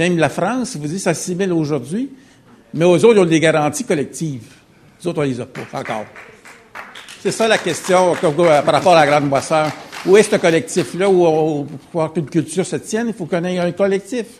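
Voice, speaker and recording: Over crowd noise in the background, a man with a high pitch speaks at a fairly quick pace with ordinary pitch variation, leaving long, frequent pauses. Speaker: audience member. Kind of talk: audience question.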